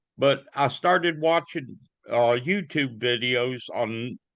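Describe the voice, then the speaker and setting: Very slowly, a man with an Alabama accent speaks with ordinary pitch variation. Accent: US Southern (Alabama). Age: 70s. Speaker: notary public. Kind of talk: casual interview. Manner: halting.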